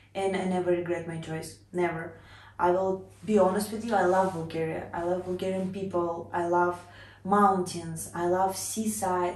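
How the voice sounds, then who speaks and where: In a Russian accent, a woman with fairly low pitch speaks at a moderate pace in a flat monotone, with audible room echo. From Russia (Cheboksary). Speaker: vlogger. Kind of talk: casual personal introduction vlog.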